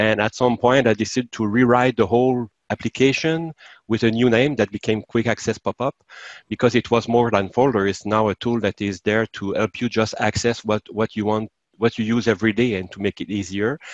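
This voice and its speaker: In a Quebec accent, a man speaks at a fairly quick pace with fairly even intonation, and the sound is dry with no echo. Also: medium pitch for a man, quiet background. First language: French. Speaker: software developer; interviewee. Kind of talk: software demo. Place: home room. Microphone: video call.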